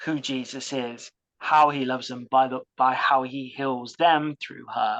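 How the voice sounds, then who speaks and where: With a British accent, a woman talks at a very slow pace and with fairly even intonation. The sound is dry and close with no echo, over a quiet background. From UK. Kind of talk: interview testimony.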